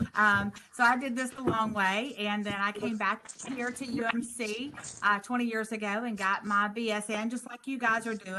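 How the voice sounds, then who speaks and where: In a Southern US accent, a woman with a fairly high pitch speaks at a moderate pace with monotone, flat intonation against noticeable background noise. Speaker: nursing instructor. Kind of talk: orientation presentation.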